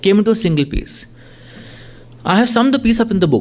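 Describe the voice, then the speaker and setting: A man speaks at a very fast pace. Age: 50s. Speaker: journalist and author. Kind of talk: lecture with reading aloud from own book.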